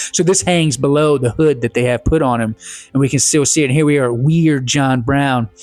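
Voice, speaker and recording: Over music in the background, a man with a Southern US accent speaks at a fairly high pitch with ordinary pitch variation. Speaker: professor. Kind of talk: lecture. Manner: halting, many fillers.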